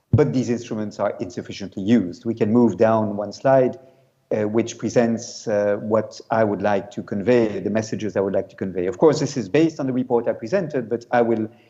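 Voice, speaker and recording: A man speaks at a medium pitch and a fairly quick pace. His tone is dark and mellow, with ordinary pitch variation. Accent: French. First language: French. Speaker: UN special rapporteur, law professor. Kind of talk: conference talk. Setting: video call to conference. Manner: hesitant, many fillers.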